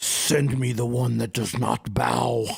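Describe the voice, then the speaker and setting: Loud and booming, a man uses a put-on character voice at a medium pitch and a fairly slow pace. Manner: commanding.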